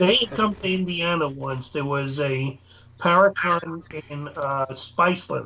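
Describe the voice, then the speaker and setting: Speaking in a New York accent, a man has a bright, sharp tone. He goes at a fairly slow pace with ordinary pitch variation. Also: fairly high pitch for a man. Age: 60s. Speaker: paranormal investigator. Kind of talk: casual chat.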